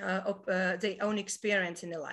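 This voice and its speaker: A woman speaks with a Latvian accent. Her tone is bright and sharp. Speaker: webinar host, network marketer. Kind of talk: business webinar presentation. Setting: online webinar. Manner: hesitant, many fillers.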